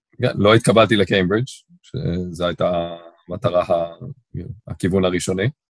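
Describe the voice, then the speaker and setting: A man with a very deep, low voice speaks at a fairly slow pace, with ordinary pitch variation and long, frequent pauses. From Israel, Tel Aviv (Ramat Aviv). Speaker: corporate lawyer. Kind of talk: interview. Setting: remote call. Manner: fluent talker.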